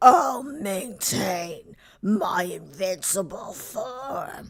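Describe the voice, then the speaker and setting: A woman's put-on character voice, fairly high-pitched and growling, at a very slow pace. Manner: growling, menacing.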